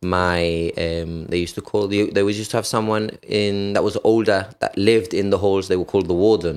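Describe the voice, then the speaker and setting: With a Gibraltarian accent, a man of fairly low pitch speaks at a fairly quick pace with fairly even intonation. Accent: Gibraltarian (Llanito) English. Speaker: firefighter and personal trainer. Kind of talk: casual interview.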